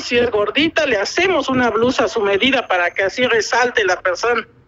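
The talking proceeds at a moderate pace, with noticeable noise in the background. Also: woman. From Oaxaca, Mexico (Ocotlán). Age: 40s. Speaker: textile artisan. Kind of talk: interview.

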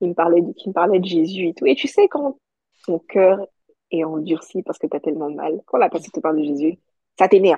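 A woman's fairly low, a normal speaking voice, at a fairly quick pace with ordinary pitch variation. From Côte d'Ivoire (Abidjan). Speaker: podcaster and entrepreneur. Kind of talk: testimony.

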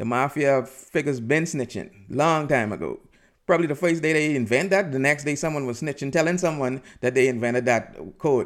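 In a very clean recording with a silent background, a man talks at a fairly quick pace. He has a fairly high pitch, an animated tone and ordinary pitch variation. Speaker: podcast host. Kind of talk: angry rant, comedic and opinionated monologue. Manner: animated, digressive, rambling with frequent fillers; fired up, emphatic and salty in tone.

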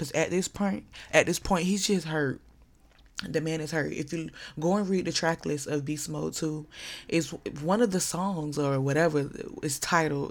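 Her voice is very deep and low for a woman. The recording is very clean, with a silent background. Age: 20s. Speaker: podcast host. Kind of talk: casual monologue. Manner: animated.

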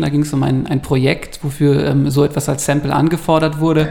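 Over noticeable background noise, a man with a fairly high pitch speaks at a fairly quick pace in a monotone, flat intonation. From Bavaria, Ingolstadt. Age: 30s. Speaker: press office editor and photographer. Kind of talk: casual chat.

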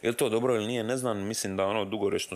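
Intonation stays monotone and flat as the man speaks. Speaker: rapper and podcast host. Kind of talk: casual chat. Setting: home studio. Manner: rambling, fast-talking.

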